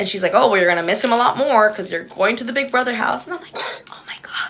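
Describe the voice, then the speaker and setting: Very fast, animated talk with lively intonation and big swings in loudness, in an American accent, over noticeable background noise. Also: woman, fairly high pitch for a woman. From Texas, Edinburg (Rio Grande Valley). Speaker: reality TV contestant and livestreamer. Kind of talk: casual chat. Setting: livestream with friend on video call.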